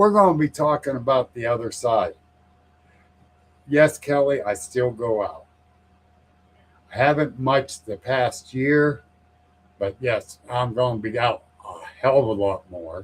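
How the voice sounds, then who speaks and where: A man with a medium-pitched, somewhat breathy voice speaks fairly slowly with lively intonation and long, frequent pauses. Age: 60s. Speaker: paranormal podcast host, guest on show. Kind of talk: casual chat.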